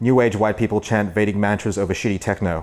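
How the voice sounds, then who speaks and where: Ordinary pitch variation runs through the speech. The pace is fairly quick. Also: man. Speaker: author and comedian. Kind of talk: reading aloud from own book. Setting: book launch with audience.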